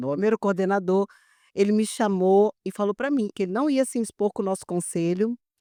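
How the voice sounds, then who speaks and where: A dark, mellow voice speaks at a fairly quick pace with ordinary pitch variation, recorded dry and close with no echo against a quiet background. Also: woman. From Brazil, Brasília. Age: 60s. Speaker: public accounting expert. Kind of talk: podcast interview.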